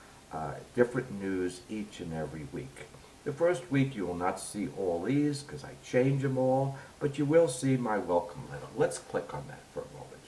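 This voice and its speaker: With a New York accent, a man talks at a moderate pace and a medium pitch, his pitch swinging very widely and his loudness swinging a lot. Audible room echo and noticeable background noise are present. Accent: heavy New York. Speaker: university instructor. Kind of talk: tutorial.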